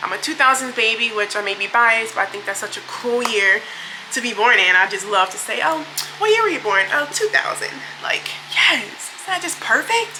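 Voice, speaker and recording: Over noticeable background noise, a woman with a fairly high pitch talks at a fairly quick pace with lively intonation and big swings in loudness. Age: 20s. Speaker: beauty vlogger and social worker. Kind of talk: casual get-ready-with-me chat. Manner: casual, filler-heavy.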